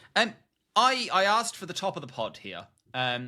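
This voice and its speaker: A man speaks with an Australian accent, his bright, sharp tone carried by lively intonation. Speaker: podcast co-host. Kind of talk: casual chat.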